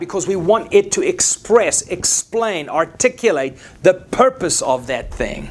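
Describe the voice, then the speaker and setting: A man talks at a moderate pace. He has a South African accent. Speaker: preacher. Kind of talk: sermon.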